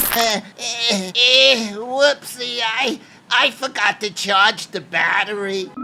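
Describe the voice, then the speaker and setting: A man puts on a character voice with a high pitch. He speaks at a very slow pace. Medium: comedy sketch. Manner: stammering, fretful.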